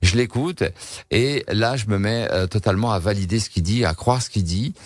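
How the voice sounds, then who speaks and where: In a very clean recording with a silent background, a man speaks at a fairly quick pace and fairly low pitch with ordinary pitch variation. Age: 60s. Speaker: shaman, former entrepreneur. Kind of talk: radio interview. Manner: halting, many repetitions and hesitations.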